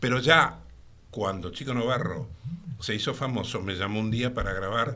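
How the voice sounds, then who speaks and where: A man's bright, sharp, medium-pitched voice with a Rioplatense accent, at a moderate pace with ordinary pitch variation and audible room echo. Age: 70s. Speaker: voice artist and singer. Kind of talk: interview.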